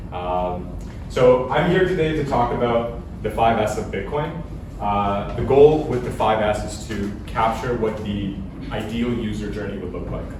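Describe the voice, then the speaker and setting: A man with a fairly low voice and lively intonation talks at a fairly slow pace, with noticeable background noise and audible room echo. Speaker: bitcoin speaker. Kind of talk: presentation talk.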